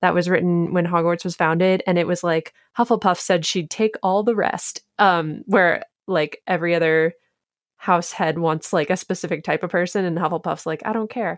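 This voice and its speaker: A woman with an ordinary speaking voice talks at a moderate pace in a fairly low pitch, her intonation fairly even, recorded dry and close with no echo against a quiet background. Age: 20s. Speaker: TikToker and recipe developer. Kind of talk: casual chat.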